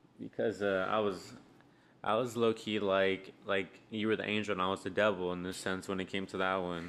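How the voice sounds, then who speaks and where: An unremarkable speaking voice talks at a moderate pace with fairly even intonation over a quiet background. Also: man, fairly low pitch for a man. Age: 20s. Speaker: podcast co-host, beer reviewer. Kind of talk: casual chat.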